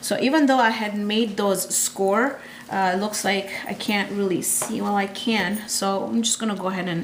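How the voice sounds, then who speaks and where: A woman speaks at a medium pitch with ordinary pitch variation. The room echoes audibly, and background noise is noticeable. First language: Gujarati. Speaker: cooking channel host. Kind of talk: cooking tutorial. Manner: casual, repetitive with fillers.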